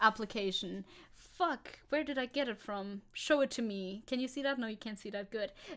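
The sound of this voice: Reading done in an unforced voice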